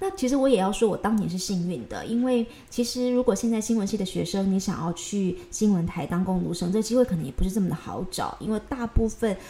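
Speech comes at a fairly quick pace with hardly any pauses. It has a Taiwanese accent and ordinary pitch variation. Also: woman, medium pitch for a woman. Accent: Taiwanese Mandarin. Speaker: news anchor and podcast host. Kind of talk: solo podcast monologue. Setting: recording at home. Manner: casual, chatty.

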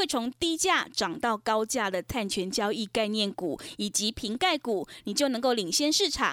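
The voice moves at a moderate pace with lively intonation, recorded dry and close with no echo on a very clean recording with a silent background. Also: woman. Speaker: radio host. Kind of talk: radio hosting with sales promotion.

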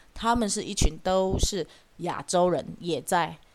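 A woman speaks in a plain, everyday voice. Her pitch sits in the middle range. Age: 40s. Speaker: podcast host. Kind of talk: casual solo commentary.

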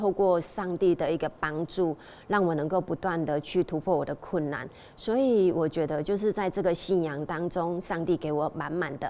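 A woman with an ordinary speaking voice talks at a moderate pace, her fairly low pitch showing ordinary variation. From Taiwan, Tainan. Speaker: hairdresser. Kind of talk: testimony.

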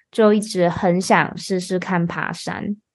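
A woman speaking at a very slow pace against a quiet background. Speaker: podcast host and Mandarin teacher. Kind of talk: casual chat for language learners.

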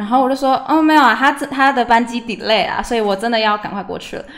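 A woman speaks in an animated tone at a fairly high pitch. Noticeable background noise can be heard. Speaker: university student. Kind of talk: casual chat. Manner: lively, animated.

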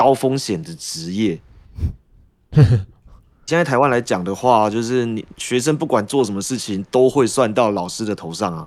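At a fairly slow pace, a man with an unremarkable speaking voice talks at medium pitch with lively intonation. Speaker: social studies teacher. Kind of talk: casual chat.

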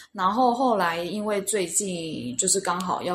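Against noticeable background noise, a woman talks at a medium pitch. Her pitch varies in an ordinary way. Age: 30s. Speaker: language school student. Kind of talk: casual interview. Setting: on-site at school in Cebu.

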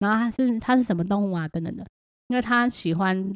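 A woman with a Taiwanese accent talks at a fairly quick pace and medium pitch. The sound is dry and close, with no echo. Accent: Taiwanese Mandarin. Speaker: podcast host and homeschooling mother. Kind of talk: casual monologue.

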